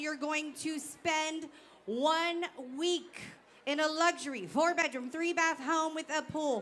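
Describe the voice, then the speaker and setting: Loud and bright, with a sharp tone, a woman speaks at an extremely high pitch in fairly even intonation. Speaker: auctioneer. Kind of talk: live auction / gala emcee. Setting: stage with audience.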